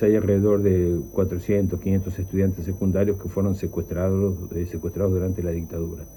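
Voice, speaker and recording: A dark, mellow tone comes through. There is some breathiness to it. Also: man. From Argentina, La Plata. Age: 60s. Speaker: dictatorship survivor, former student activist, teacher. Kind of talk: testimony. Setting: pre-recorded audio played on radio.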